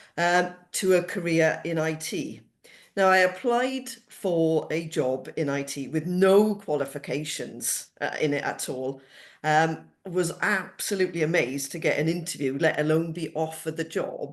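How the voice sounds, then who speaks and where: In a Welsh accent, a woman speaks at a fairly slow pace, her fairly low voice showing ordinary pitch variation against a quiet background. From Wales, Cardiff area. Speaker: cost savings specialist. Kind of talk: interview.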